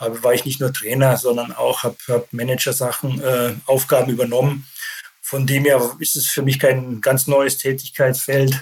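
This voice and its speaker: His intonation is monotone and flat as the man speaks at a moderate pace. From Bavaria, Germany (Landshut). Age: 50s. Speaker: football club sporting director, former pro player. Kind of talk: interview. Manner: hesitant, many filler sounds.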